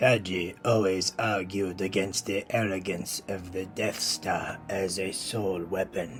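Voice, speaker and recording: In a put-on character voice, the speaker goes at a fairly slow pace with fairly even intonation and hardly any pauses, while clear music plays in the background. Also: man, very deep, low pitch for a man. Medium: audio drama. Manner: cold, condescending.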